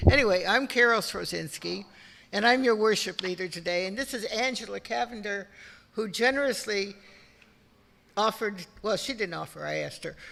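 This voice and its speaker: A woman's medium-pitched voice with a bright, sharp tone and vocal fry, ordinary pitch variation and a fairly quick pace. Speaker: lay worship leader. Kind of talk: church service welcome. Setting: church with congregation. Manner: informal, halting.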